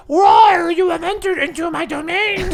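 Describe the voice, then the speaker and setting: In a put-on character voice, the speaker squeaks at an extremely high pitch. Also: moderate pace. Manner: creepy.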